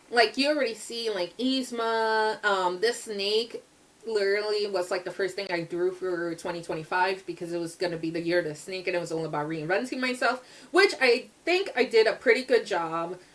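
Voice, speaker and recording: A woman's animated tone at a moderate pace over noticeable background noise. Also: medium pitch for a woman, ordinary pitch variation. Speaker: artist vlogger. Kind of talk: casual chat. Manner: loud.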